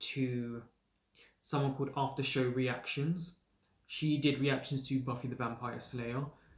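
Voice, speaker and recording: This man sounds somewhat breathy, with a southern English accent. His intonation stays fairly even. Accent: well-spoken southern English, trained. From London, England. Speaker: actor and assistant director running a review channel. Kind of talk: casual Q&A vlog. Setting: home recording during isolation.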